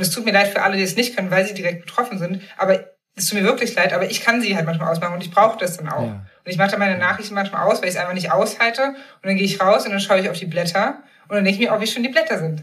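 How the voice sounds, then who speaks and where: This woman speaks at a very fast pace, with medium pitch and ordinary pitch variation. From eastern Germany, Magdeburg. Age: 30s. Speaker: journalist and author. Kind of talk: casual interview.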